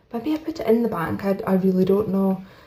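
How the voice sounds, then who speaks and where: A woman with a Scottish accent speaks at a medium pitch with lively intonation. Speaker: budgeting YouTuber. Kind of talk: casual chat. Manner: soft-spoken.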